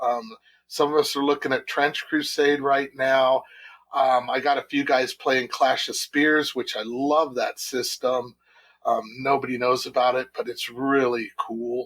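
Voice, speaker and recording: A man with an unremarkable speaking voice talks at a fairly slow pace in a fairly high pitch. His intonation is fairly even, and the recording is very clean with a silent background. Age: 60s. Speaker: tabletop wargamer, club founder. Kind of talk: casual podcast interview.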